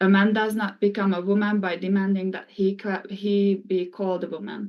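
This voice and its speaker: Speaking with a Hungarian accent, a woman keeps a monotone, flat intonation. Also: medium pitch for a woman, moderate pace. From Hungary. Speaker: former college swimmer. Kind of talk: testimony. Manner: formal.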